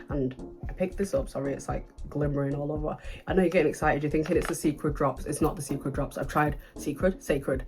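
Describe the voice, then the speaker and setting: Someone speaks very fast in a British accent with music in the background. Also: woman. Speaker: beauty vlogger. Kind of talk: casual chat. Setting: home, filming at night under lights. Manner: animated.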